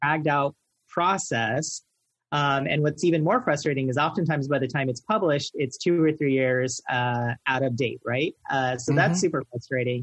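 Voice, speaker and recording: With ordinary pitch variation and very even loudness, a man speaks at a moderate pace in a somewhat breathy, fairly high voice, the sound dry and close with no echo. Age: 30s. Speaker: veterinary technician and lecturer. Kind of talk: interview.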